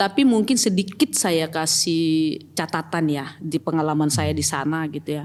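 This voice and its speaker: Speaking with a North Sumatran accent, a woman with a very deep, low pitch keeps a moderate pace with hardly any pauses and ordinary pitch variation. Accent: Batak. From Batak region, North Sumatra. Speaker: church pastoral team member and company employee. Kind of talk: podcast interview.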